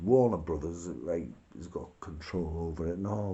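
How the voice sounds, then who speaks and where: Here is a man with a very deep, low pitch. Vocal fry runs through his voice. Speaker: video blogger. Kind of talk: casual rant. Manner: rambling, informal.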